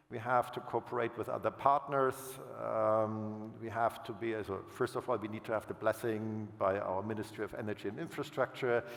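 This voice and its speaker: The speaker has a German accent and a moderate pace. Intonation stays monotone and flat over noticeable background noise. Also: man, medium pitch for a man. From Germany. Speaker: utility finance executive. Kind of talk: panel fireside chat. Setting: stage with audience. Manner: halting, with self-corrections.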